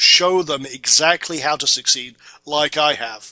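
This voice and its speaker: A man's fairly high, bright and sharp voice with a Scottish accent, fairly even intonation, and a dry, close sound with no echo. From Scotland, Orkney Islands. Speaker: internet marketing instructor. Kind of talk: tutorial. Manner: casual.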